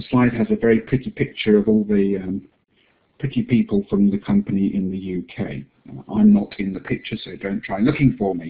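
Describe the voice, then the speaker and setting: In an English accent, a man with a fairly low pitch and ordinary pitch variation talks at a fairly quick pace, with big swings in loudness. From England. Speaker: assistive technology distributor presenting software. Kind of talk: webinar presentation.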